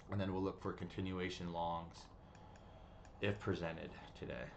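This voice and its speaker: Long, frequent pauses, fairly even intonation and audible room echo. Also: man. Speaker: day trading streamer. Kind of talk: live trading stream chat. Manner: fast; casual, filler-heavy.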